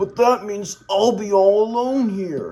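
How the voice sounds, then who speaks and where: In a put-on character voice, the speaker rumbles at a fairly high pitch and a fairly slow pace. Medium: read story. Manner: grumbling, haughty.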